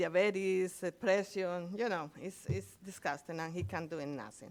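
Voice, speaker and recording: Speaking at a fairly slow pace with a non-native accent, a woman uses a fairly low pitch and ordinary pitch variation against noticeable background noise. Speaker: respondent's relative. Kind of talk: testimony. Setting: hearing room at podium. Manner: halting.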